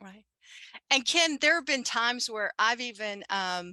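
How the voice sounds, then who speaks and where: This woman speaks at a moderate pace with a Southern US accent. Her voice is high-pitched, and the sound is dry and close with no echo. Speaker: commuter program consultant. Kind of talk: webinar panel discussion.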